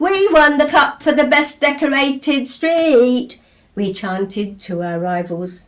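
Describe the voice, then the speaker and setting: At a very slow pace, a woman's high voice swings very widely in pitch. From England. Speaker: poet. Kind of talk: poetry reading. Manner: lively.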